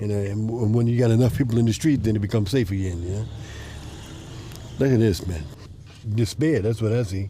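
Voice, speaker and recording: A man with an American accent talks at a very fast pace in a fairly low pitch, with long, frequent pauses. Noticeable background noise is present. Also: ordinary pitch variation. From Brooklyn, New York City. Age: 60s. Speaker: community organizer. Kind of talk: casual walking tour.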